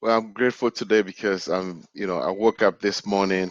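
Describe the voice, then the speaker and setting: The speaker has a Ghanaian accent and fairly even intonation. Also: man. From Ghana, West Africa. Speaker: human capability specialist. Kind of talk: casual interview.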